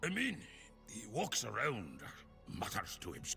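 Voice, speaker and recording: A man performs in a put-on character voice. Clear music plays behind him. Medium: video game. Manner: chatty.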